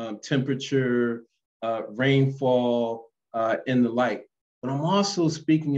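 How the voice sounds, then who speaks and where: A man speaks with an American accent and ordinary pitch variation. The background is quiet. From Philadelphia, US. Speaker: geography professor. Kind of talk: lecture. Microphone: webcam.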